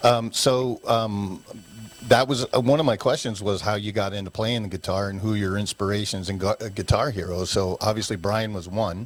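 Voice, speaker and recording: A man speaks at a moderate pace with fairly even intonation. Noticeable background noise is present. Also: fairly low pitch for a man. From Connecticut. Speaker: podcast host. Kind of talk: interview. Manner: casual.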